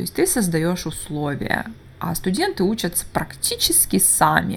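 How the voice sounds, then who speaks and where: A woman at a medium pitch and moderate pace, with vocal fry. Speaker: English teacher and podcaster. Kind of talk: solo podcast monologue. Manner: halting, many filler sounds.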